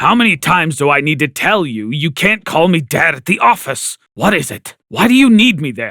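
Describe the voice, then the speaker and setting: In a cartoonish character voice, a man shouts at a fairly high pitch with very wide pitch swings, a moderate pace and hardly any pauses. The sound is dry and close with no echo, on a very clean recording with a silent background. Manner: angry, shouting.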